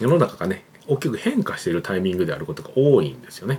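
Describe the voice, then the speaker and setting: A man's voice with very wide pitch swings. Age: 40s. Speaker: creative director and YouTube channel host. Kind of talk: solo business talk to camera. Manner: casual, filler-heavy with frequent ね and まあ.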